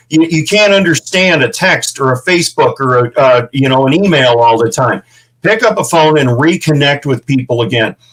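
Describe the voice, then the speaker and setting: With a Midwestern American accent, a man talks at a fairly high pitch and a moderate pace. His intonation is lively, his tone animated, and his loudness very even. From St. Louis, Missouri. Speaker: veteran ranch founder. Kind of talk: interview.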